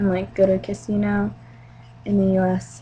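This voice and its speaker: A woman at a fairly slow pace against noticeable background noise. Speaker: vlogger. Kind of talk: casual video message to a friend.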